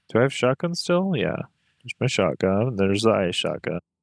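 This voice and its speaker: A man talks at a fairly quick pace. The sound is dry and close with no echo, very clean over a silent background. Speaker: gaming streamer. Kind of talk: live gameplay commentary. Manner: soft-spoken. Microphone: mic a little far away, quiet.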